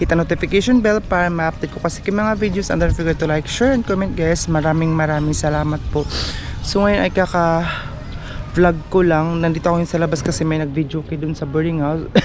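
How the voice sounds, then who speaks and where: Amid noticeable background noise, a woman with a fairly low voice talks at a fairly quick pace with ordinary pitch variation. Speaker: vlogger. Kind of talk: casual vlog. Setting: outdoors at a market. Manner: weak, low energy.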